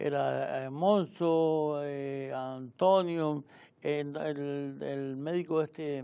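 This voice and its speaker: Against a quiet background, a man with a fairly high pitch talks at a very slow pace with fairly even intonation. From Canary Islands (Arrecife, Lanzarote); Canary Islands. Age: 60s. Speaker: retired local police officer and journalist; journalist. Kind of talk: casual interview. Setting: TV studio. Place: studio.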